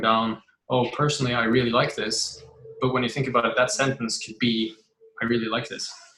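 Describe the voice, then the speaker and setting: Here a man talks at a fairly quick pace. His medium-pitched voice has monotone, flat intonation. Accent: non-native. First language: not English. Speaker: writer. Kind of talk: interview. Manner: halting.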